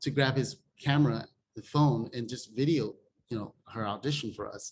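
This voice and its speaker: The voice is somewhat breathy, with ordinary pitch variation at a moderate pace. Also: man. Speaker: film director. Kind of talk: interview. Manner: conversational, many fillers.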